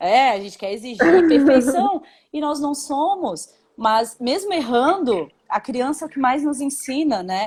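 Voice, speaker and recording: Very wide pitch swings at a fairly slow pace. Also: woman, high pitch for a woman. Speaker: mother discussing parenting. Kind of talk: casual chat.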